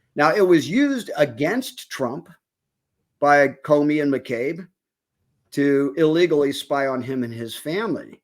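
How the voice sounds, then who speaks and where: Very wide pitch swings on a very clean recording with a silent background. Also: man. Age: 60s. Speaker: political commentator. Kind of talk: casual political discussion.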